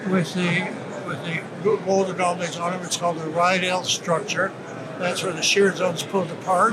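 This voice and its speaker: Over noticeable background noise and audible room echo, a man with a high pitch speaks at a moderate pace in a monotone, flat way. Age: 90s. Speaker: prospector. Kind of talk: interview. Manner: halting.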